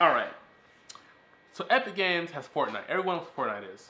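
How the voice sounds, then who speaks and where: Animated and very fast, a man speaks amid audible room echo. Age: 20s. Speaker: podcast host. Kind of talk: casual chat.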